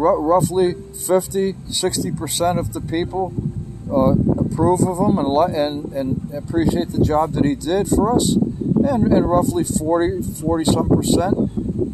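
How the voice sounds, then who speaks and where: Over noticeable background noise, a man talks very slowly at a fairly high pitch. He has an American accent and lively intonation. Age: 60s. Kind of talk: casual conversation with political opinions.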